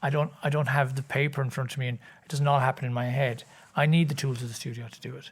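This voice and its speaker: In a very clean recording with a silent background, a man with an Irish accent speaks very fast at a medium pitch, somewhat breathy and monotone, flat in intonation but with big swings in loudness. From Ireland, County Cork. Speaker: singer and composer. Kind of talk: interview answer.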